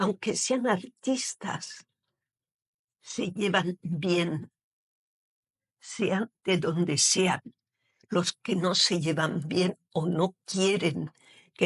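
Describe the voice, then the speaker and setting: Very slow, somewhat breathy speech with long, frequent pauses, ordinary pitch variation, very even loudness, and a dry, close sound with no echo. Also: woman. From Algeria, Oran. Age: 70s. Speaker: poet, retired teacher. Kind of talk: interview. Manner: hesitant, with fillers.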